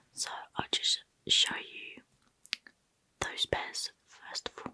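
A woman's whisper. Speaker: ASMR creator. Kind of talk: soft-spoken ASMR product show and tell. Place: home room. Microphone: studio mic.

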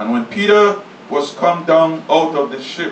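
Heard at a fairly slow pace, a man talks amid audible room echo and light background noise. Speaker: pastor. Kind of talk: sermon scripture reading. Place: church.

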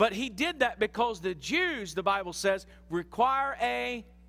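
A man with a high pitch projects a raised voice, his bright, sharp tone moving through very wide pitch swings. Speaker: pastor. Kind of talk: sermon. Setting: church. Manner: animated, conversational preacher, teaching with audience call-and-response. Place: church. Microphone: headset.

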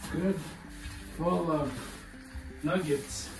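Clear music plays in the background as a man speaks at a very slow pace with ordinary pitch variation. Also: fairly high pitch for a man.

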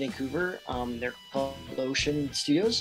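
A man speaks with clear music in the background. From Canada. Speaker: voice actor. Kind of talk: interview answer. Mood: relaxed, upbeat. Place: home room. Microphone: video call.

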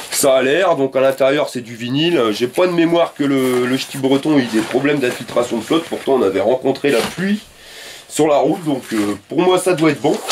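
Over light background noise, the man talks moderately fast and varies his pitch in an ordinary way. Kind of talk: tutorial. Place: garage. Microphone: camera far.

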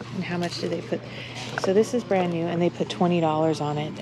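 Her pitch is fairly low, with ordinary variation. This woman's voice comes with noticeable background noise. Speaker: thrift shopper vlogger. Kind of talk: casual vlog chat. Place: shop. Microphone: phone near.

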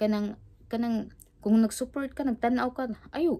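The woman talks at a fairly quick pace. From Philippines, Cebu; Philippines. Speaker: vlogger. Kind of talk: casual vlog chat. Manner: halting, repetitive. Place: home room.

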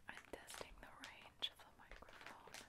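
A woman whispers at a moderate pace. She is soft-spoken. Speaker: ASMR creator. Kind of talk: soft-spoken casual ASMR chat. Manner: soft close-mic whisper. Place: home room. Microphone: handheld.

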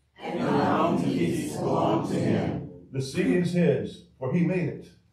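Music plays in the background as a man speaks at a fairly slow pace, with audible room echo. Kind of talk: prayer and scripture reading. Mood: solemn, calm. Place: church.

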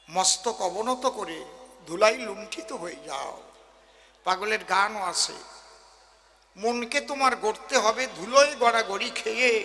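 Over noticeable background noise, a man with a high pitch and a raised, projected voice shows ordinary pitch variation and big swings in loudness. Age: 60s. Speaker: kabigaan folk singer and preacher. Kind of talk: religious discourse to audience. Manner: animated.

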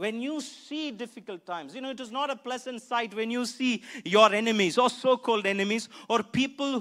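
A man speaks at an extremely high pitch with a bright, sharp tone. The recording is very clean, with a silent background.

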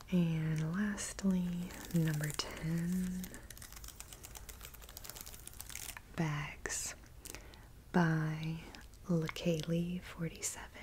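A soft-spoken woman talks very slowly in a monotone, flat intonation with long, frequent pauses and light background noise. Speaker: vlogger. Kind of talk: casual vlog chat. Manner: soft-spoken, close-mic ASMR voice. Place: home room. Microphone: earbuds.

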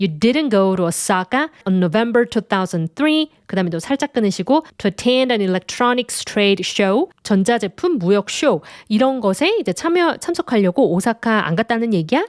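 A woman's fairly high voice with very wide pitch swings, at a fairly slow pace with hardly any pauses, in a dry, close sound with no echo and a very clean recording with a silent background. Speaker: English teacher. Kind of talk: lecture.

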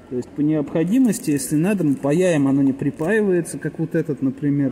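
A man's fairly high voice at a moderate pace, ordinary pitch variation, and noticeable background noise. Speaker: car repair mechanic. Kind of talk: repair tutorial. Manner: casual, thinking aloud.

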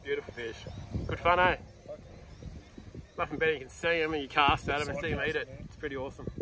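Over noticeable background noise, a man talks very fast with fairly even intonation, in a dry sound with no echo. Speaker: fishing charter guide. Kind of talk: casual commentary. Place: boat. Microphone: phone near.

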